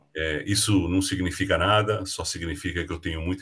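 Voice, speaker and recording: Very deep, low male speech with fairly even intonation. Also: very clean recording, silent background. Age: 60s. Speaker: leadership mentor and speaker. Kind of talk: casual interview.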